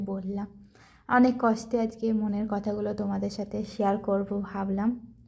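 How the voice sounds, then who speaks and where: The woman's voice sits at a fairly high pitch with a dark, mellow tone. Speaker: vlogger. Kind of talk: vlog narration.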